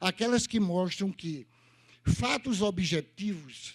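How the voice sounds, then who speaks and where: This man's voice sits high in pitch, with lively intonation. He talks at a very slow pace. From Brazil, Northeast. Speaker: lecturer. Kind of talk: lecture.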